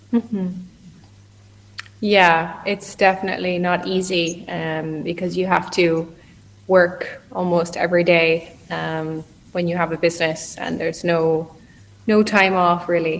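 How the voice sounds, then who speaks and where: A woman with an Irish Midlands accent speaks in a fairly low, monotone, flat voice. Her pace is fairly slow with long, frequent pauses, over noticeable background noise. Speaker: online English tutor. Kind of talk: casual conversation practice.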